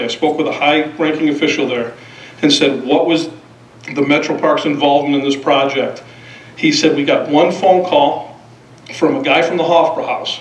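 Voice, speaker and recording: With audible room echo, a man talks at a moderate pace in fairly even intonation. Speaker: resident giving public comment. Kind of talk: public comment speech. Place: hall. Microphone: podium.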